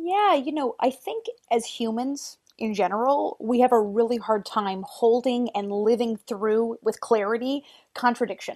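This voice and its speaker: A woman uses an ordinary speaking voice at a fairly high pitch. She goes at a fairly slow pace with ordinary pitch variation. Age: 40s. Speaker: artist and filmmaker. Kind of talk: interview.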